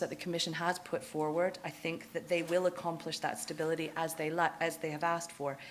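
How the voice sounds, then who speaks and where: A woman's fairly low voice at a very fast pace. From Canada. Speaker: fund manager. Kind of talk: conference presentation.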